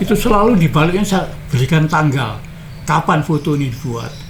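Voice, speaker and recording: A man talks at a moderate pace with music in the background and audible room echo. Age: 70s. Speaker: retired journalist and former activist. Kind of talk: interview. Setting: at his home.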